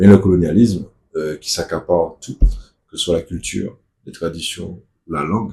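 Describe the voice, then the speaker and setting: In a Martinican accent, a man with a very deep, low pitch and a dark, mellow, somewhat breathy tone speaks at a moderate pace. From Martinique. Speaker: activist spokesperson. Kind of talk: casual video monologue.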